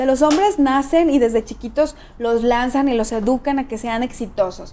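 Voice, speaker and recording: A woman talks in a high pitch with a Mexican accent. Noticeable background noise runs beneath her. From Mexico, San Luis Potosí. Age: 40s. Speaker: political candidate. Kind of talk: interview.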